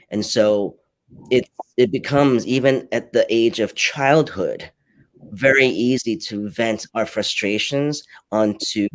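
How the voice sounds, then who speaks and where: A man speaks with a Cantonese accent. He goes at a fairly slow pace, with ordinary pitch variation. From New York (born in Hong Kong, moved at seven). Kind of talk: live panel discussion. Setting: livestreamed online panel.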